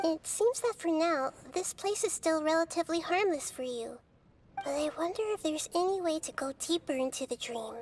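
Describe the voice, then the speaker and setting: A female-sounding put-on character voice at an extremely high pitch, calm in tone, at a moderate pace. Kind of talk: video game cutscene voice acting. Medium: video game. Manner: soft, calm, courteous.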